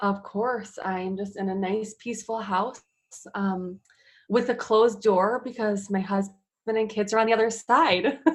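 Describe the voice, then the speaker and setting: A woman with a Chicago accent and fairly high pitch talks at a fairly slow pace with fairly even intonation. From US Midwest, Chicago area. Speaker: fitness trainer and mother. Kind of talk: casual interview. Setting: at home, closed room. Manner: many filler ums.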